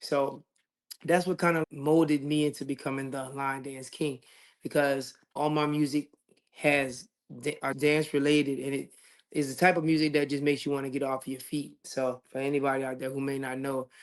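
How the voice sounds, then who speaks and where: In a Louisiana accent, a man with a fairly high pitch talks in a flat monotone. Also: moderate pace. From Louisiana, Lafayette. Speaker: singer. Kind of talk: interview. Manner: casual.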